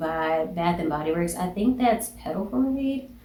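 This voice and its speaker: Against noticeable background noise and audible room echo, a woman with a slight Southern accent speaks at a moderate pace with lively intonation. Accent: slight southern twang. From US South. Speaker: beauty and fragrance YouTuber. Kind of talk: casual product review vlog. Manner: chatty, animated.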